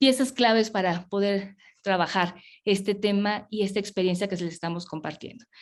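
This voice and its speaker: This is a woman speaking. She goes at a fairly quick pace. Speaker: public health official. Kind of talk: webinar presentation. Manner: fast.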